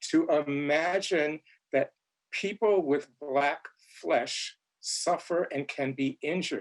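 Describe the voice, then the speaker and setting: A man speaks at a fairly slow pace. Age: 60s. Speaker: author and theorist. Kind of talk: panel discussion. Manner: halting, repeats words.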